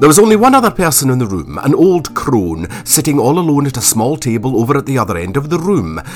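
Over noticeable background noise, the speaker races at a very fast pace with hardly any pauses, a pompous, animated tone and very wide pitch swings. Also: man, fairly high pitch for a man. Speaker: audio drama narrator and actor. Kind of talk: dramatic narration of a period audio drama, with wry asides and character voices. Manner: arch, mock-pompous voice for Marlowe.

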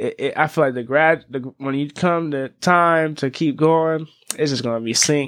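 In a normal speaking voice with an American accent, a man talks at a moderate pace and fairly high pitch against a quiet background. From Las Vegas and California. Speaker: recording artist. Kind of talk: casual chat.

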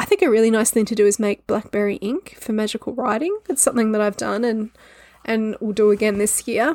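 Speaking with an Australian accent, a woman uses a fairly high pitch and fairly even intonation at a fairly quick pace. The sound is dry and close, with no echo. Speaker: podcast host. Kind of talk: solo educational talk. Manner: casual, laughing at times.

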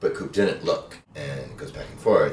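Fairly quick male speech with audible room echo. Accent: American. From rural Montana, US. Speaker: podcast guest. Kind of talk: casual chat.

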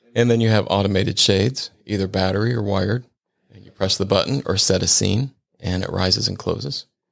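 A man with an American accent uses a normal speaking voice at fairly low pitch. His intonation is fairly even, with big swings in loudness. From Ohio, Cincinnati. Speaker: window treatment expert. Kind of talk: casual interview.

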